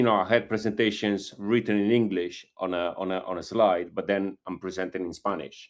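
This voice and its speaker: A man with an Italian accent at a fairly low pitch and a fairly slow pace. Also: very clean recording, silent background. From Italy. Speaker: group call participant. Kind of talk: question on group call. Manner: halting, many fillers.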